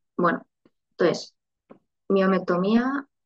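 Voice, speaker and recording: Dry and close with no echo, a woman's medium-pitched voice carries vocal fry. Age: 30s. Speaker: IVF patient sharing her story. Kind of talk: interview testimony.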